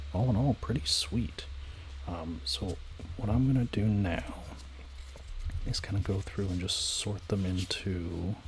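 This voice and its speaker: In a relaxed tone, a man with a very deep, low voice and lively intonation speaks at a fairly slow pace with long, frequent pauses. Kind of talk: ASMR card-sorting talk to camera. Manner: soft-spoken, whispered, relaxed.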